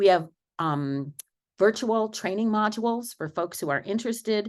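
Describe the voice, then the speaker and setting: Here a woman uses an ordinary speaking voice with lively intonation. Her pace is moderate, and the background is quiet. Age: 60s. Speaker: law professor, panelist. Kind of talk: conference panel talk.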